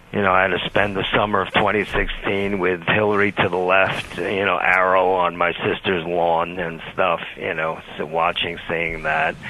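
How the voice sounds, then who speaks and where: Against noticeable background noise, a man speaks at a moderate pace with hardly any pauses. His pitch is very deep and low, and his intonation monotone and flat. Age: 60s. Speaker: caller. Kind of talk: call-in radio conversation. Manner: halting.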